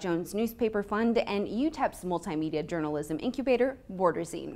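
A woman's medium-pitched voice, fairly quick in pace, with lively intonation. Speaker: university newscast anchor. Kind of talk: news anchor read. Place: classroom.

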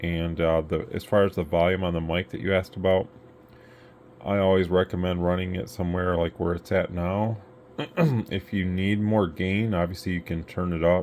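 Over light background noise, a man with a very deep, low pitch speaks at a moderate pace with fairly even intonation. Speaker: radio equipment seller. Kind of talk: product explanation for a customer. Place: workshop.

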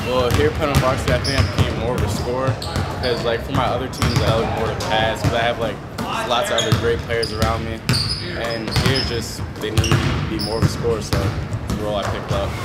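Loud background noise competes with speech delivered at a fairly quick pace. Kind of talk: interview answer. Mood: relaxed, slightly shy smile. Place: hall.

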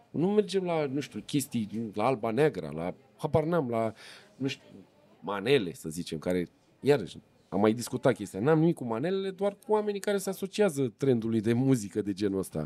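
At a moderate pace, a man with a medium pitch and a dark, mellow tone makes very wide pitch swings. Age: 40s. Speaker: podcast host; podcast host or guest. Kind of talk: casual interview chat. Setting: filmed in a shop or gas station building. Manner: animated. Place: cafe. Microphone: studio mic.

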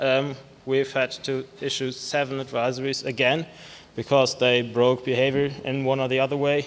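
The pace is fairly slow. The voice belongs to a man. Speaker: conference presenter. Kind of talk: lecture. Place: hall. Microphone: podium.

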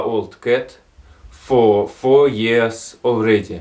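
In a Russian accent, a man speaks at a very slow pace. The background is quiet. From Russian Far East. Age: 20s. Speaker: amateur astronomer. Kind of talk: appeal for help to camera. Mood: calm, earnest plea. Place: home room. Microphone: phone near.

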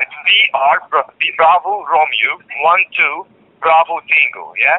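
With a slightly husky edge and lively intonation, a man talks at a fairly slow pace and fairly high pitch, the sound dry and close with no echo.

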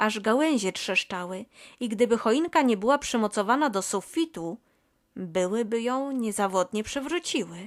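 On a very clean recording with a silent background and a dry, close sound free of echo, a woman with an ordinary speaking voice and fairly high pitch speaks with lively intonation. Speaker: audiobook narrator. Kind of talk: bedtime story reading aloud. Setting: home recording. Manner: soft, gentle, slow storytelling.

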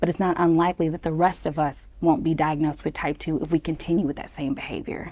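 Here a woman speaks with an American accent. Her pitch is fairly low. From Texas. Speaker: startup founder. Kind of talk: interview. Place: studio. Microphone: lapel.

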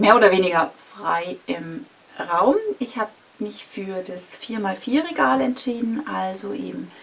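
A woman is speaking. Her intonation is lively. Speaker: vlogger. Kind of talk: casual vlog chat. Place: home room.

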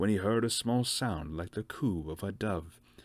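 An unforced voice reads the words.

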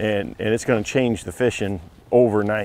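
A man at a fairly quick pace, the sound dry with no echo. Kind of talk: commentary. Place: boat.

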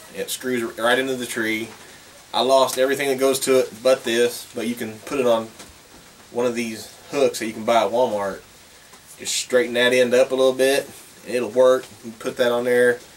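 Light background noise sits behind a man speaking at a moderate pace. His intonation stays flat and monotone. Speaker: hunter vlogger. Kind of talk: casual vlog chat. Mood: relaxed, cheerful. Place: workshop. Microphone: camera far.

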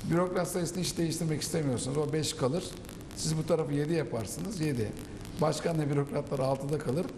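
A man's fairly high voice at a fairly quick pace, with ordinary pitch variation, audible room echo and light background noise. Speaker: political commentator. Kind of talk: panel discussion. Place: studio. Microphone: lapel.

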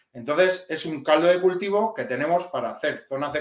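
With audible room echo, a man speaks at a moderate pace in a high voice. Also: quiet background. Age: 40s. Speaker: police officer; guest. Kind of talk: interview. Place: home room.

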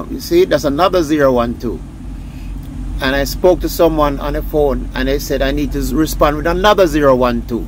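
Over clear background noise, a man talks at a moderate pace with ordinary pitch variation.

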